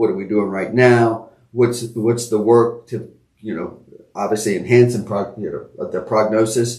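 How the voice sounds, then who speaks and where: A man's somewhat breathy, medium-pitched voice, fairly slow and monotone with flat intonation, with big swings in loudness and audible room echo. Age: 60s. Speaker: podcast co-host. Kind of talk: casual conversation. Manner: halting.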